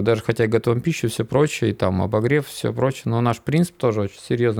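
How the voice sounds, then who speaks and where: Very fast talking from a man, medium in pitch, with ordinary pitch variation. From Komi Republic, Inta. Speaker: mountain guide. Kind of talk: casual chat.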